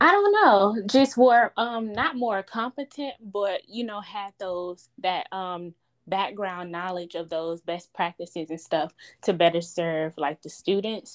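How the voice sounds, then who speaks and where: In a plain, everyday voice, a woman of medium pitch speaks at a fairly slow pace with ordinary pitch variation and big swings in loudness over a quiet background. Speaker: podcast host. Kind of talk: interview, casual conversation.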